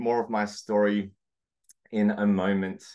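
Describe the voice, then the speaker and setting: Speaking in an Australian accent at a fairly slow pace, a man with a medium pitch is heard over a quiet background. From Australia, Sydney. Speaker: coach and consultant. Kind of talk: webinar presentation. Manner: hesitant with many fillers.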